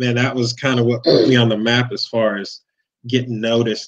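The background is quiet as a man speaks with an American accent. His intonation is flat and monotone. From Cleveland, Ohio; Ohio. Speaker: monster truck driver; guest. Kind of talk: casual chat. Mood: relaxed, smiling.

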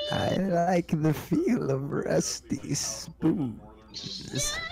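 Over clear music in the background, a man does a put-on character voice at a high pitch and a very slow pace. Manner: creepy.

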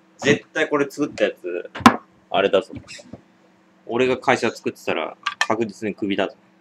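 Loud background noise sits behind a man speaking at a moderate pace. He leaves long, frequent pauses. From Japan, Niigata; Japan. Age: 20s. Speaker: drinking video creator; drinking livestreamer. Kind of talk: casual solo vlog monologue; casual vlog chat, responding to viewer comments. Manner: casual, many fillers. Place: home room. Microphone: webcam.

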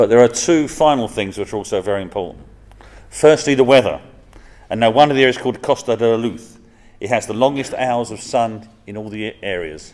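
Here a man with an English accent speaks at a moderate pace and medium pitch, with ordinary pitch variation. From England. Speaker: professor. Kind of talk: formal speech. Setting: stage with audience.

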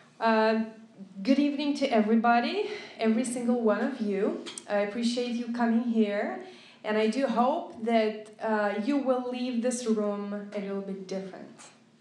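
A woman with a Lithuanian accent speaks at a moderate pace, her pitch fairly high with ordinary variation. Her tone is slightly mellow, and audible room echo surrounds it.

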